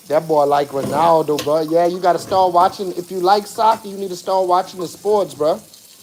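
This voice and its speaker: Speaking at a moderate pace with fairly even intonation, a man with a high-pitched voice comes through over noticeable background noise. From South Africa. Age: 40s. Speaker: live streamer. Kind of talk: casual live stream chat while cooking.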